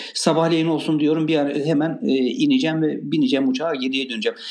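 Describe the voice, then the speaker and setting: Fairly high male voice with very wide pitch swings, a fairly quick pace and audible room echo. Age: 60s. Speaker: restaurant owner. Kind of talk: casual chat.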